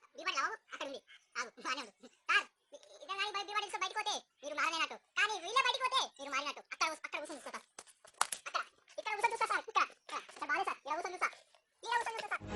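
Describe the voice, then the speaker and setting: An extremely high, squeaky put-on character voice at a very fast pace. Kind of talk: comic overacting. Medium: comedy sketch. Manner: fidgety, halting.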